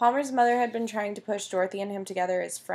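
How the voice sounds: Natural reading voice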